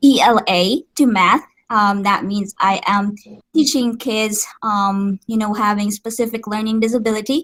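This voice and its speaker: A woman with a Visayan Filipino accent, fairly high in pitch with ordinary pitch variation, in a dry, close sound with no echo. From Philippines, Negros Occidental (Visayas). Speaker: special education teacher. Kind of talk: interview. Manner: Taglish code-switching with frequent fillers.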